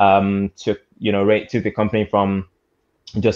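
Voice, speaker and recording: Against a quiet background, a man with a fairly low pitch talks at a fairly slow pace in a monotone, flat intonation. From Nigeria, moved to UK at about 12. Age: 20s. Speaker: robotics entrepreneur. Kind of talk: panel discussion.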